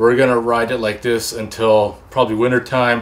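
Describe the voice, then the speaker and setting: A man talks in a monotone, flat intonation. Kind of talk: tutorial wrap-up. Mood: calm, slightly concerned. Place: workshop. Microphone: camera far.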